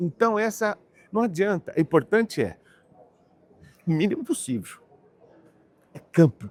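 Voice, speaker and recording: A man speaks at a moderate pace. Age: 60s. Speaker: agribusiness professional. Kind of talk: interview. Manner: halting.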